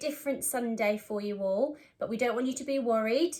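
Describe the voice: A woman speaks at a moderate pace, her pitch fairly high with ordinary variation.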